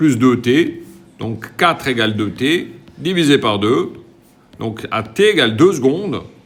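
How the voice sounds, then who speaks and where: Speaking at a very slow pace with long, frequent pauses, the voice carries lively intonation over audible room echo. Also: man, medium pitch for a man. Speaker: physics teacher. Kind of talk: lecture. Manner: casual.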